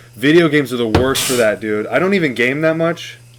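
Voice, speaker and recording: A man at a fairly quick pace, with ordinary pitch variation, amid noticeable background noise. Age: 20s. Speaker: podcast guest. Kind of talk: casual chat.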